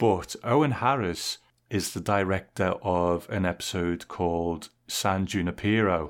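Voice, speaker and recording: Speaking with an English accent at a fairly slow pace, a man has a very deep, low pitch, ordinary pitch variation and very even loudness, on a very clean recording with a silent background. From England. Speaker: podcast host. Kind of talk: casual chat.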